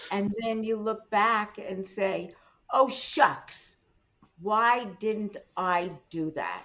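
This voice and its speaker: A woman's fairly high voice, bright and sharp in tone, at a very slow pace with long, frequent pauses and ordinary pitch variation. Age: 80s+. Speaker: business and communications coach. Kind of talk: interview, motivational talk. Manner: emphatic.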